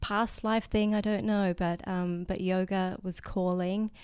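The recording is very clean, its background silent. A woman talks in an Australian accent. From Australia, remote desert mining town. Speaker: yoga teacher. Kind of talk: casual interview conversation. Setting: in person, Maui.

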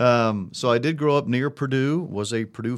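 A man with an American accent speaks at a moderate pace and medium pitch, with ordinary pitch variation, in a very clean recording with a silent background. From US Midwest, Indiana. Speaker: sports broadcaster and radio analyst. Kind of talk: live radio game commentary (replayed clip). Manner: animated, celebratory.

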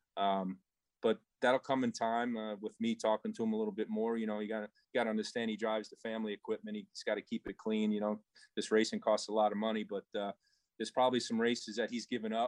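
In a Long Island accent, a man rattles along at a very fast pace, medium-pitched and in a flat monotone. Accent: Long Island New York. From Long Island, New York. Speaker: race team owner. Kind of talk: casual interview. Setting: remote from the shop.

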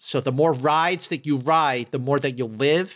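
A man speaks with an American accent at a moderate pace, his pitch fairly high and its variation ordinary. It's an unremarkable speaking voice on a very clean recording with a silent background. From Philadelphia. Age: 50s. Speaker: podcast guest, Star Trek fan. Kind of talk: casual chat.

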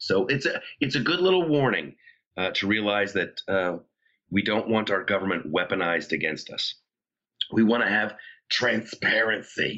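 A raspy put-on character voice from a man, medium in pitch, with lively intonation, a moderate pace and long, frequent pauses. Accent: Long Island.

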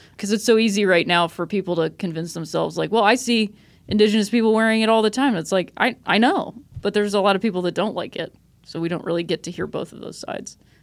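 A woman with an American accent at a very fast pace, medium pitch with ordinary variation and big swings in loudness, in a very clean recording with a silent background. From Akron, Ohio, US Midwest. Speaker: comedian and TV writer. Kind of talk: casual chat.

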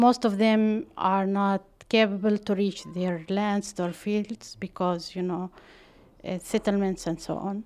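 Speaking at a fairly slow pace in an Arabic accent, a woman keeps a medium pitch and fairly even intonation on a very clean recording with a silent background. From Palestine, West Bank. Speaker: water and gender expert. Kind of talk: interview. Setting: at home. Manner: halting.

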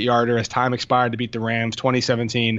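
Over noticeable background noise, a speaker with an American accent talks fairly quickly. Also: man. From Connecticut shoreline, US. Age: 30s. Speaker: sports blogger. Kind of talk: casual sports chat. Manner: repeats words, stammering restarts.

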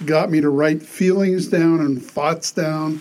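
A man talks at a fairly slow pace in a fairly high pitch. He has an unremarkable speaking voice with fairly even intonation. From Pittsburgh, Pennsylvania. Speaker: poet and retired physician assistant. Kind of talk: interview.

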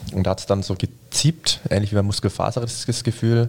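Speaking at a fairly quick pace, a man with a fairly low pitch and fairly even intonation has an unremarkable speaking voice. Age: 20s. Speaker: sprinter. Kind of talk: casual chat.

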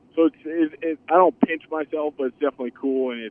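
A man with a Midwestern US accent at a fairly quick pace. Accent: US Midwest. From Iowa, US Midwest. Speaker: professional football player. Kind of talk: casual interview.

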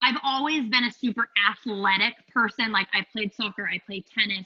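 This woman has an ordinary speaking voice with an American accent, a fairly high pitch, ordinary pitch variation, and a fairly slow pace. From Phoenix, Arizona. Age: 30s. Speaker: yoga instructor and studio owner. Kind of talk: casual interview chat.

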